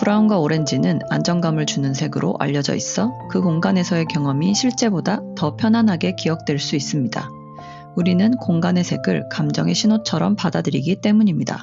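Music plays behind a woman with a very deep, low voice. She keeps a moderate pace and very even loudness. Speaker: color psychology content creator. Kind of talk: educational explainer narration.

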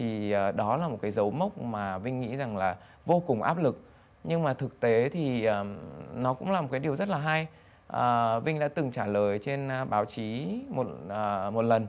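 A man talks at a moderate pace and medium pitch. His intonation is lively. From Vietnam. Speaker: banker, business executive; interview guest. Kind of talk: interview. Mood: calm, reflective. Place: studio. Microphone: lapel.

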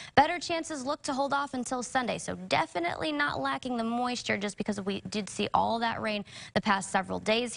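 A woman at a very fast pace, fairly high in pitch, with lively intonation and an upbeat tone. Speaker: TV meteorologist. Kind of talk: weather report. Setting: TV studio. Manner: brisk, upbeat, conversational. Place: studio.

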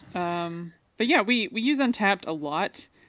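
With a quiet background, a woman speaks with ordinary pitch variation. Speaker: beer podcast host. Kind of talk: casual chat. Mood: relaxed, friendly. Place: home room. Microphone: studio mic.

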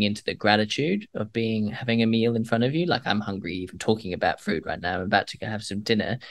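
A man talks at a fairly quick pace. His pitch is fairly low, and the background is quiet. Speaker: climate entrepreneur and polar explorer. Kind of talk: casual interview chat. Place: home room.

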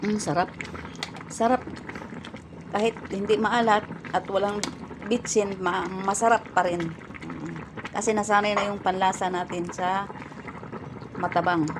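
A woman at a medium pitch, fairly slow pace and fairly even intonation, with long, frequent pauses and noticeable background noise. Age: 50s. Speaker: vlogger. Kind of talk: casual cooking and eating vlog.

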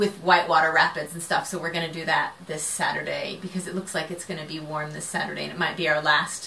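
Over light background noise, a woman with a fairly low pitch rushes along at a very fast pace in a monotone, flat delivery with hardly any pauses. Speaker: crafting podcast host. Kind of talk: casual vlog chat. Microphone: camera far.

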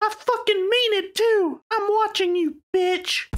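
Extremely high pitch at a fairly slow pace. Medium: comedy sketch. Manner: aggressive, threatening.

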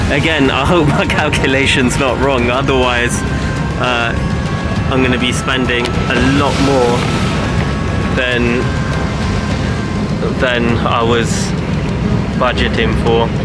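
Over background music, a man talks at a very slow pace with long, frequent pauses, the sound dry with no echo. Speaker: travel vlogger. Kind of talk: casual vlog chat. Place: boat. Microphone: phone near.

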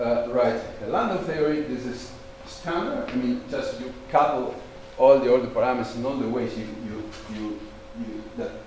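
A man at a moderate pace with ordinary pitch variation and big swings in loudness, amid audible room echo and light background noise. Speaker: conference speaker. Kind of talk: lecture. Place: hall.

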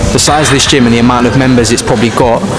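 A man talking at a very fast clip, with clear music in the background. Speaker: fitness vlogger. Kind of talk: casual vlog chat. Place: gym. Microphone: lapel.

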